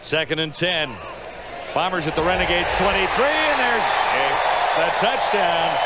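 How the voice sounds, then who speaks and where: Loud background noise runs under a man talking at a moderate pace with long, frequent pauses, in a dry sound with no echo. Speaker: play-by-play announcer. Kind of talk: live commentary.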